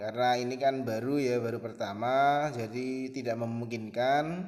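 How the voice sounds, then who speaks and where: This man's voice sits at a medium pitch with fairly even intonation. He speaks at a fairly slow pace. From Central Java, Pekalongan. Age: 20s. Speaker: Indonesian language teacher. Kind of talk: online class introduction to students. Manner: hesitant, with frequent fillers.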